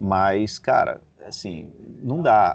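A man talks with ordinary pitch variation in a quiet setting. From Brazil, Rio de Janeiro. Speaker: NFL podcast host. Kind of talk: casual sports chat. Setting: at a football stadium before a match.

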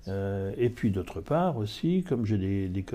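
Dark, mellow male voice with lively intonation and a fairly slow pace. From France, Mayenne. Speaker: master chocolatier. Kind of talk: interview. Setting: chocolate shop. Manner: halting, many hesitations.

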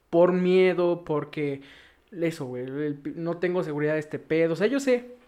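This man's voice sits high in pitch. He speaks at a moderate pace. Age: 30s. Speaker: podcast co-host. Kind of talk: casual chat.

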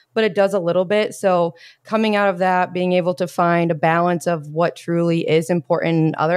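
A woman with an American accent and a plain, everyday voice speaks at a moderate pace and fairly low pitch, in a dry, close sound with no echo. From US Midwest, Indiana (Bloomington). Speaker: fitness coach. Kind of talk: casual chat.

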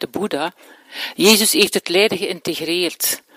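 A woman's plain, everyday voice at a moderate pace, with ordinary pitch variation and a dry, close sound free of echo. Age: 60s. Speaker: therapist and speaker. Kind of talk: lecture.

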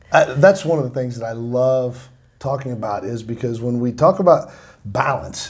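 A man talks at a fairly quick pace and a medium pitch, with ordinary pitch variation. The voice is somewhat breathy. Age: 50s. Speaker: podcast host, company co-founder. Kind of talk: casual interview chat.

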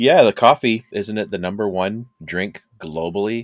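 A man with a Canadian accent speaks at a moderate pace in an ordinary speaking voice, with fairly even intonation and a dry, close sound with no echo. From Canada. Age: 50s. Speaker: podcast co-host. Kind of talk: casual chat.

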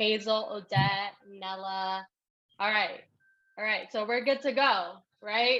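Bright and sharp in tone, a woman's fairly high voice keeps a fairly even intonation. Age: 20s. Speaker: podcast host and network marketing leader. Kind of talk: live training.

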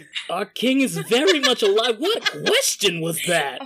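Clear background noise runs under a man's put-on character voice. He talks at a moderate pace with a high pitch. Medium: actual play. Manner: blunt, profane.

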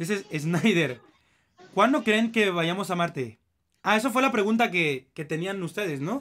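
Speaking at a fairly slow pace, a man with a high pitch and a bright, sharp tone uses lively intonation. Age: 20s. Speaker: podcast host. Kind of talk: casual chat.

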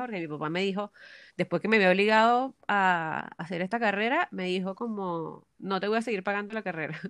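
Against a quiet background with a dry, close sound with no echo, a woman with an ordinary speaking voice and medium pitch talks at a moderate pace with ordinary pitch variation. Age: 20s. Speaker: architect and BIM specialist. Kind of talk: casual chat.

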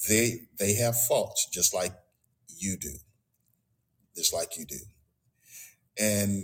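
Long, frequent pauses break up this man's speech. His voice is fairly low and somewhat breathy, with ordinary pitch variation. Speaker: pastor. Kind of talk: sermon. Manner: halting.

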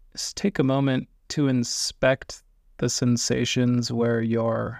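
Speaking very slowly in a calm tone, a man with a medium-pitched voice keeps his intonation fairly even, and the sound is dry and close with no echo. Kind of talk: guided meditation. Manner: slow, calm, soft-spoken with long pauses; gentle, soothing, instructional.

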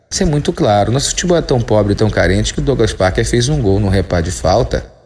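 A man speaks with vocal fry and very wide swings in pitch. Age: 40s. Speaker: sports columnist. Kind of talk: opinion podcast monologue. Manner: animated.

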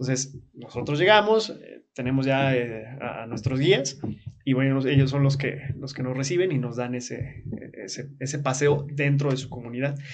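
With audible room echo, a man at a medium pitch speaks at a moderate pace with ordinary pitch variation. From Chiapas, Mexico (Comitán). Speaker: experiential tourism operator. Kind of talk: casual interview.

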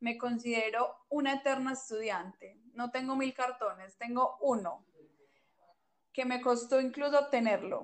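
Fairly slow, fairly even speech from a woman with a high voice. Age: 20s. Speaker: podcast co-host, publicist. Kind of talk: casual chat.

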